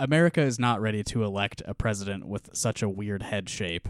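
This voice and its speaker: In a very clean recording with a silent background and a dry, close sound free of echo, a man with an unremarkable speaking voice speaks at a fairly quick pace, his pitch fairly low with ordinary variation. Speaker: podcast host. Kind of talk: casual chat.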